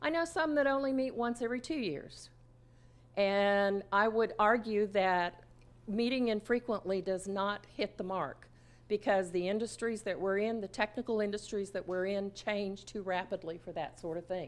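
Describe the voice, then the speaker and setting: In a very clean recording with a silent background, a woman speaks at a medium pitch with ordinary pitch variation. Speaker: conference presenter, grant principal investigator. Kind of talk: conference presentation. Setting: stage with audience. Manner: fast; animated.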